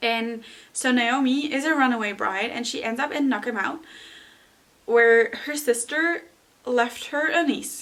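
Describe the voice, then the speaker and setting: In a non-native accent, a woman with a high-pitched voice speaks in an animated tone, taking long, frequent pauses. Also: ordinary pitch variation, fairly slow pace. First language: not English. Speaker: booktuber. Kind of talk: casual book recommendation vlog.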